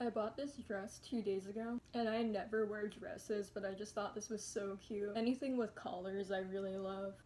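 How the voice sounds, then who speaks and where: Over noticeable background noise, the speech moves at a moderate pace in a monotone, flat intonation with hardly any pauses. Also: woman, medium pitch for a woman. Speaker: vlogger. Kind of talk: casual chat. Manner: relaxed.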